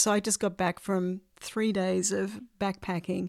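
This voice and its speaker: A woman with an Australian accent, medium pitch, fairly even intonation and moderate pace, in a very clean recording with a silent background. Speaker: podcast host. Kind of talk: interview.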